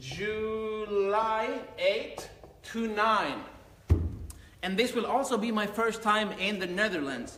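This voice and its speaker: A high-pitched man talks in a raised, projected voice at a very slow pace, with long, frequent pauses. Noticeable background noise and audible room echo are present. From Sweden. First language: Finnish. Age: 20s. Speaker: karate instructor. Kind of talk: live Q&A. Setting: live stream on laptop.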